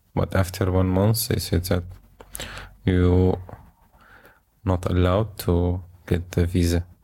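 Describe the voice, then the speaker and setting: With an Arabic accent, a man speaks fairly slowly in a very deep, low, somewhat breathy voice, his intonation monotone and flat, his loudness very even, and his pauses long and frequent. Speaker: refugee. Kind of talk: interview. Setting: co-working space. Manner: halting.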